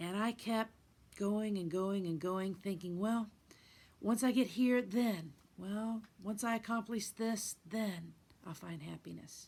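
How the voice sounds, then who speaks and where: Very slowly, a woman speaks in a somewhat breathy voice at a medium pitch. Her pitch variation is ordinary. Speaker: guitarist, singer-songwriter, life coach. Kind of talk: motivational talk to camera. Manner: reflective, sincere, conversational.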